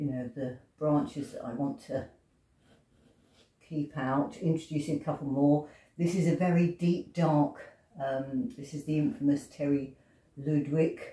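In an English accent, a woman with a very deep, low pitch and a dark, mellow, somewhat breathy tone speaks fairly slowly with long, frequent pauses and ordinary pitch variation, amid audible room echo. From England. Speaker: pastel artist. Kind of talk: tutorial. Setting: home studio. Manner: hesitant.

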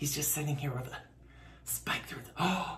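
A man whispering in a playful tone. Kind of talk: casual talk to camera. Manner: playful, chatty. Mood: playful, joking. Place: home room.

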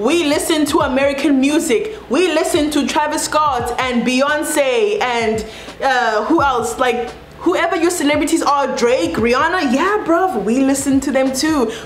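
With a South African accent, a woman speaks in an animated tone at a high pitch and a fairly slow pace, her loudness very even, with audible room echo and light background noise. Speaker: YouTuber. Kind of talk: casual vlog monologue. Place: home room.

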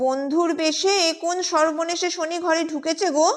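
A shrill, female-sounding put-on character voice reaches an extremely high pitch. It moves at a moderate pace. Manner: screeching.

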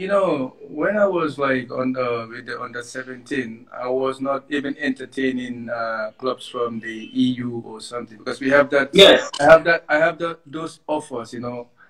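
Faint music sits behind a man whose loudness swings widely, with ordinary pitch variation. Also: moderate pace, hardly any pauses. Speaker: interviewee. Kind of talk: interview answer. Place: home room. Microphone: video call.

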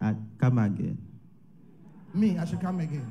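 This man's voice is fairly high and somewhat breathy, with lively intonation. Light background noise sits behind him. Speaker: prophet; preacher. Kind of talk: prophecy delivery. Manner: prophetic, declarative, urgent; rhythmic, repetitive ('What can stop it?'). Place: church. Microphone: handheld.

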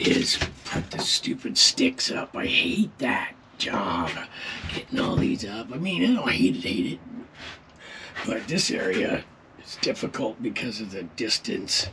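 A man at a fairly slow pace with long, frequent pauses, over noticeable background noise. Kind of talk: casual vlog chat. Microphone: phone near.

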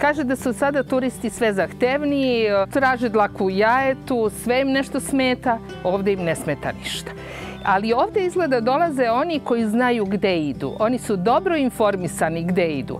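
A woman at a moderate pace, dry sound with no echo, clear music playing behind her. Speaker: rural guesthouse host. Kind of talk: interview answer. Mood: proud, warm. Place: garden. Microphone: lapel.

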